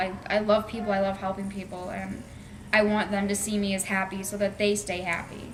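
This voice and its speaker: A woman with a medium-pitched voice talks at a fairly quick pace, with audible room echo and music in the background. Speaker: student interviewee. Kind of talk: interview testimony. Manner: loud; animated, bubbly.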